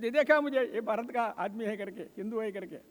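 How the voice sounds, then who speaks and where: A man speaks in an extremely high voice. His pitch varies in an ordinary way. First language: Telugu (speaking Hindi). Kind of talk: ceremonial speech.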